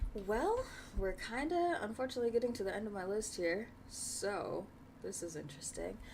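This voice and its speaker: With audible room echo, a woman speaks at a fairly high pitch, her voice making very wide pitch swings. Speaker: interview show host. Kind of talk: casual interview. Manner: fast.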